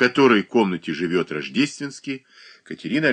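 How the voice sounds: Lively intonation in a natural reading voice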